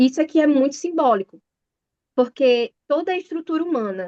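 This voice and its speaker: A woman talks at a moderate pace with lively intonation. The sound is dry and close, with no echo. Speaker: bible study teacher. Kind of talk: sermon. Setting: video call.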